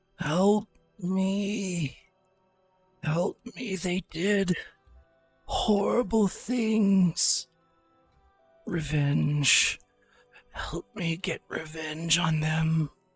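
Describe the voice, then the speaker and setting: A put-on character voice at middle pitch, very slow, with long, frequent pauses and faint music in the background. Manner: creepy, pleading, vengeful.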